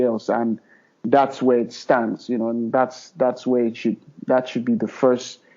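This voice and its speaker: A man speaks in a Nigerian accent. His pitch sits in the medium range. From Nigeria, Middle Belt (Plateau State). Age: 30s. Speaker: filmmaker. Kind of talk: podcast interview. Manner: hesitant, many fillers.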